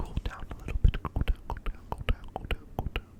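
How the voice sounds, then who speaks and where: A whisper comes through amid noticeable background noise. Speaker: ASMR creator; apprentice plumber. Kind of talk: ASMR whisper talk. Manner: whispered; repeats trigger words.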